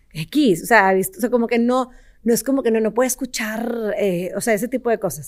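Speaking at a fairly quick pace, a woman with a northern Mexican accent has a fairly high pitch and ordinary pitch variation. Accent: northern Mexican (regio) Spanish. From Mexico, Monterrey. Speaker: entrepreneur, company CEO. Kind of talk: interview.

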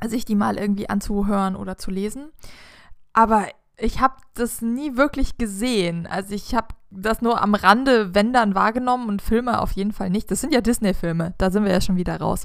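At a moderate pace and fairly high pitch, a woman with an unremarkable speaking voice shows ordinary pitch variation on a very clean recording with a silent background. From southern Germany, village. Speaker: podcast host. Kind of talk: casual chat.

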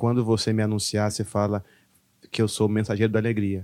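A man speaks fairly quickly at a medium pitch, in a plain, everyday voice. The recording is very clean, with a silent background. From Brazil, moved between many states (military family). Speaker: stand-up comedian. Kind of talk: casual chat.

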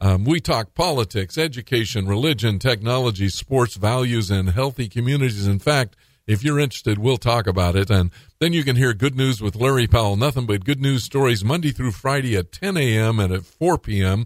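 On a very clean recording with a silent background, a man with an American accent and a plain, everyday voice talks at a fairly quick pace and medium pitch, with lively intonation and hardly any pauses. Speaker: radio talk show host. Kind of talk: radio talk show interview; and at 25:13, upbeat radio DJ patter with promos. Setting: radio studio. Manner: warm, friendly, faith-minded, uses fillers like uh and um.

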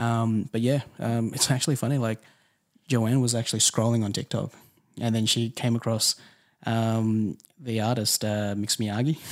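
The speaker has an Australian accent and a moderate pace, with monotone, flat intonation and very even loudness. The recording is very clean, with a silent background. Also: man, medium pitch for a man. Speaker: music manager. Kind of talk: casual interview.

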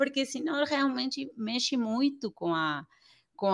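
At a fairly slow pace, a woman with an Argentine accent speaks in a bright, sharp tone with lively intonation, on a very clean recording with a silent background and a dry, close sound with no echo. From Argentina. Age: 40s. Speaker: pediatrician and parenting educator. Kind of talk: interview.

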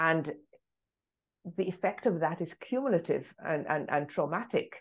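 A woman speaks with a British accent and a fairly low pitch. Her intonation is lively, her pace moderate, and the background quiet. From England, London. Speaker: anti-racism activist and author. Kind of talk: interview conversation.

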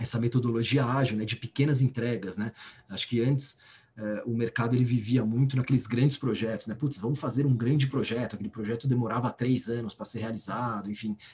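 A somewhat breathy man's voice at a medium pitch, fairly quick in pace, with fairly even intonation. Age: 30s. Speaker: bank executive. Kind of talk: interview.

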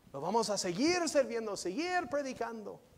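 This man's intonation is lively, though he talks fairly slowly. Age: 40s. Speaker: visiting pastor. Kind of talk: sermon. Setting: church.

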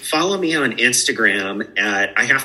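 The man's tone is bright and sharp, with an American accent. His pitch shows ordinary variation. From Spokane area, Washington, US Pacific Northwest. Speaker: coffee company director. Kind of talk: casual chat. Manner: animated.

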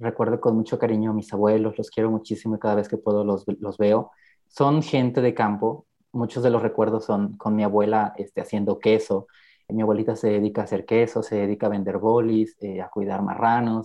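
Talking at a fairly quick pace, a man keeps a fairly low pitch and monotone, flat intonation. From Mexico, Guerrero (rural town near Taxco). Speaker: podcast guest sharing life story. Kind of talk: personal testimony interview.

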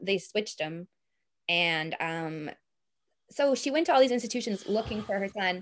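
A woman with an American accent speaks at a medium pitch and moderate pace, using lively intonation and long, frequent pauses. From US, Boston. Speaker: history researcher. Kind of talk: interview.

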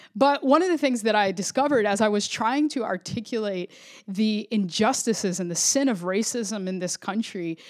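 Fairly high-pitched woman's voice with a Florida accent, on a very clean recording with a silent background. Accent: American (Florida). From Florida suburbs, Puerto Rican family. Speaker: podcast host, pastor. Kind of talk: solo devotional podcast monologue.

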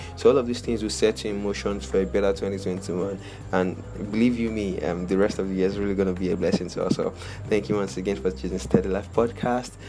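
Clearly audible background noise runs beneath speech delivered very rapidly. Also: man, fairly low pitch for a man, ordinary pitch variation. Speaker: podcast host. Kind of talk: motivational talk. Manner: encouraging, upbeat.

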